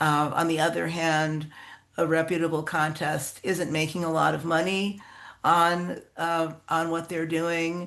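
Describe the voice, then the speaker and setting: Fairly low pitch from a woman, with monotone, flat intonation, a fairly slow pace and audible room echo. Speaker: contest organizer, writer. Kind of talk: workshop talk.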